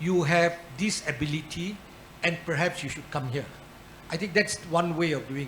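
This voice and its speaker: Moderate-paced speech with long, frequent pauses against noticeable background noise. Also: man, high pitch for a man, ordinary pitch variation. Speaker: arbitration institution leader. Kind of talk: panel discussion.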